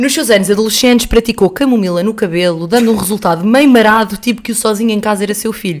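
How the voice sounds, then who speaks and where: There is noticeable background noise as a woman talks at a very fast pace with hardly any pauses. Her pitch variation is ordinary. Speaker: podcast co-host. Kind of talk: reading aloud; casual chat. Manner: halting.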